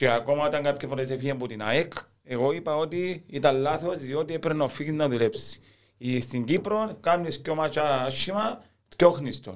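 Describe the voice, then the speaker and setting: At a moderate pace, a man with a Cypriot accent speaks at a fairly high pitch with ordinary pitch variation. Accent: Cypriot Greek. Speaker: football fan. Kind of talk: casual chat.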